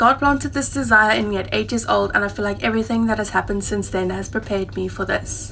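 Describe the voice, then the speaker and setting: A woman with a South African accent speaks at a very fast pace. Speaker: travel vlogger. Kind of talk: vlog monologue.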